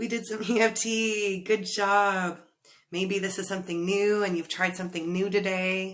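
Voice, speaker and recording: A woman with a medium pitch speaks at a fairly slow pace in a plain, everyday voice. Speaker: life coach. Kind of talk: guided tapping session. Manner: slow, calm.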